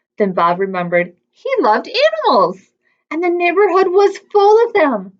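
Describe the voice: A woman speaks at a moderate pace with an extremely high pitch. Her pitch swings are big.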